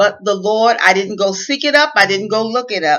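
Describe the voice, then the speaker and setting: With a Southern US accent, a woman speaks in a fairly high voice with ordinary pitch variation. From US South. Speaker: inspirational speaker. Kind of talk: motivational talk. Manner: careful enunciation at times.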